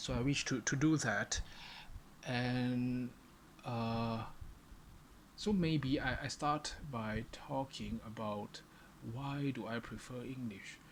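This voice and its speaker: The speaker has a strong non-native accent. Speech is very slow, with long, frequent pauses. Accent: non-native English, far from native. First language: Chinese. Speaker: vlogger. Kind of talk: solo monologue to camera. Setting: alone in front of a camera. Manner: halting, many fillers and repetitions.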